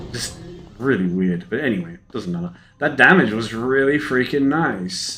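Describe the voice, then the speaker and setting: With music in the background, a speaker with an Australian accent talks at a moderate pace with lively intonation. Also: man, medium pitch for a man. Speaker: gaming streamer. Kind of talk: casual gameplay commentary.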